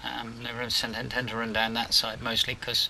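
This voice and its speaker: Over noticeable background noise, a man with an English accent speaks at medium pitch and moderate pace in a monotone, flat manner. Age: 70s. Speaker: gaming video creator. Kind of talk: gameplay commentary. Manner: casual, hesitant with many ums.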